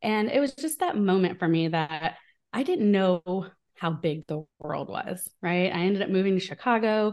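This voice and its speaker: With a quiet background, a woman talks at a moderate pace in a medium pitch with ordinary pitch variation. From US Midwest, small town in Illinois. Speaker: business coach. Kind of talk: interview.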